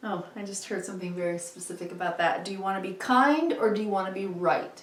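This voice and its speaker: A woman talks at a very fast pace at a medium pitch with ordinary pitch variation. Her loudness swings widely, and there is noticeable background noise. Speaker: tarot reader. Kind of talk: tarot reading.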